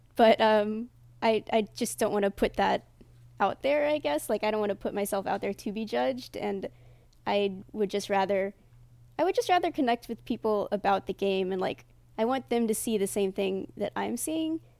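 In a very clean recording with a silent background, a woman speaks in a normal speaking voice with a fairly high pitch, lively intonation and a moderate pace. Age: 20s. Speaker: Twitch streamer. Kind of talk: casual interview.

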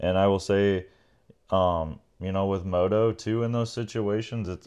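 An ordinary speaking voice from a man, fairly low in pitch, with fairly even intonation and a quiet background. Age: 30s. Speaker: motocross racer and podcast co-host. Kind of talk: casual chat.

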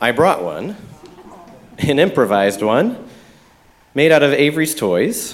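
A fairly high-pitched man with an American accent, very wide pitch swings, and long, frequent pauses. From Metro Detroit, US Midwest. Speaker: preacher. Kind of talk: sermon. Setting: church.

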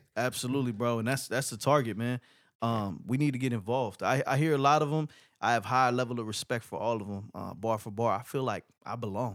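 A man talks very fast in an American accent, his pitch medium with ordinary variation. The recording is very clean, with a silent background. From Los Angeles (Inglewood). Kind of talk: casual chat.

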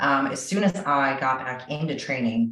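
A woman speaks with ordinary pitch variation, and room echo is audible. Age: 30s. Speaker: physical therapist and strength coach. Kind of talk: podcast interview.

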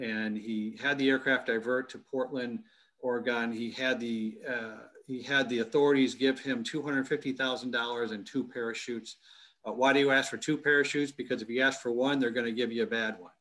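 Monotone, flat intonation runs through this man's speech. He has a Midwestern American accent, medium pitch, and a moderate pace. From US Midwest, Michigan. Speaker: military intelligence expert and university executive. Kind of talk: interview. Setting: video call from home basement. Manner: halting, many repetitions.

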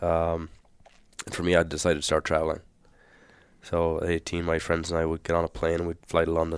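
A man with an Irish accent talks very fast at a very deep, low pitch. His intonation is monotone and flat, and the recording is very clean with a silent background. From Ireland. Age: 30s. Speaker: firefighter. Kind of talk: casual chat.

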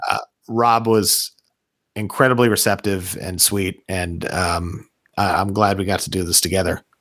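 On a very clean recording with a silent background, a man uses an ordinary speaking voice with a fairly low pitch, fairly even intonation and a moderate pace. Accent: American. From Orlando, Florida. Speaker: punk musician. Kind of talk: casual chat.

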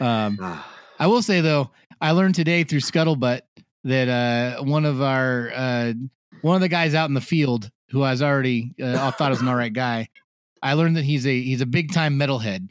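A man's normal speaking voice at medium pitch, moderate pace, ordinary pitch variation and very even loudness. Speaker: podcast co-host. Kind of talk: casual podcast chat. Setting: lying in bed at home, laptop and microphone. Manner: joking, playful.

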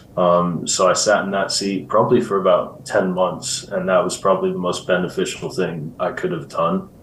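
A man with an American accent at a fairly quick pace, with audible room echo. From US Midwest (Iowa), then England from 15. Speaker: insurance agency executive, former pro soccer player. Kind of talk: interview.

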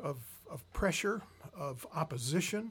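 Speaking at a fairly slow pace, a man's voice comes out somewhat breathy. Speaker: professor and bishop. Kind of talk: interview.

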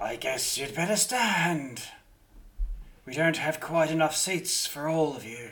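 A man's put-on character voice, fairly high in pitch, at a fairly slow pace with long, frequent pauses. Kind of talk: tabletop game master character voice. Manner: sly, condescending, mock-sweet.

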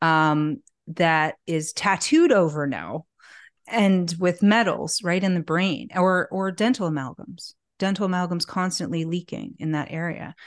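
A woman speaks in an ordinary speaking voice at a fairly slow pace and a fairly low pitch, with ordinary pitch variation. The background is quiet. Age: 40s. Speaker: natural health expert and author. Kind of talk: casual interview chat.

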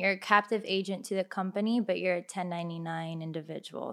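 With a Miami accent, a woman speaks at a very fast pace and a medium pitch, with fairly even intonation. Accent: Miami American English. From Miami, Florida (Kendall). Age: 20s. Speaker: insurance agent. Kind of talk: casual chat.

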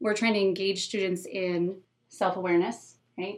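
Using an ordinary speaking voice, a woman talks at a moderate pace and medium pitch with ordinary pitch variation. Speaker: school educator, SEL expert. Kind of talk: casual interview chat.

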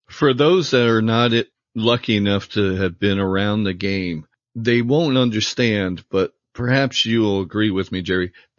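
An unremarkable speaking voice: a man at a fairly low pitch with ordinary pitch variation and a moderate pace. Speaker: podcast host and former team photographer. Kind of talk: interview.

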